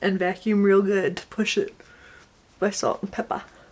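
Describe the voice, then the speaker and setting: A woman with an American accent. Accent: slight southern accent, lately strong. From Connecticut, then US South. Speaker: beauty vlogger. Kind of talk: makeup tutorial vlog. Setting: home video, tripod. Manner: chatty, casual.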